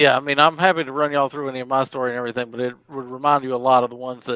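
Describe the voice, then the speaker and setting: Speaking at a very fast pace with a Southern US accent, a man has a bright, sharp tone, medium pitch and fairly even intonation in a dry, close sound with no echo. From southwestern Virginia. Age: 30s. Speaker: stream participant with schizoid traits. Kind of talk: casual chat. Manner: halting.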